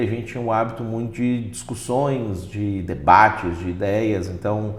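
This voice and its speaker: The man's delivery is fairly slow. Behind him are noticeable background noise and audible room echo. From Minas Gerais, Brazil. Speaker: pastor and lawyer. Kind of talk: interview.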